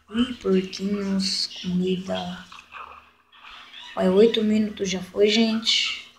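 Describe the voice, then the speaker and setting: With noticeable background noise behind her, a woman speaks very slowly in a flat monotone, leaving long, frequent pauses. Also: medium pitch for a woman. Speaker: gaming youtuber. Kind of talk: gameplay commentary. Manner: casual, chatty. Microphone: voice too quiet.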